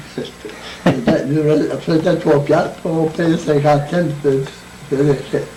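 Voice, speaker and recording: Over noticeable background noise and audible room echo, a man speaks very slowly in a flat monotone, with long, frequent pauses. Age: 80s+. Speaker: centenarian interviewee. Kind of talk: oral history interview. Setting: birthday party. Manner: halting.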